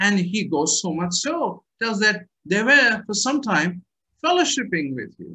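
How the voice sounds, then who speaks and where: Pitch swings very widely in this man's speech. His pace is fairly slow. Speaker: pastor. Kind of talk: sermon. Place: home room. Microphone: webcam.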